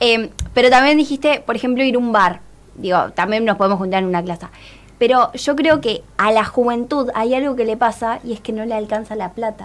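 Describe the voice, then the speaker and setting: This woman has an unremarkable speaking voice. It sits fairly high in pitch, with ordinary pitch variation. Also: fairly quick pace. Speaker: student radio host. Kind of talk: interview.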